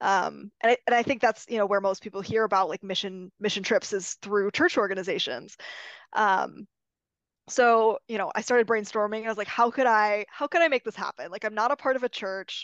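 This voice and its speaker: In an ordinary speaking voice with an American accent, a woman with a fairly high pitch and ordinary pitch variation talks at a fairly quick pace, the sound dry and close with no echo against a quiet background. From Michigan, US. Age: 20s. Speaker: aerospace engineer, podcast guest. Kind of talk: casual interview.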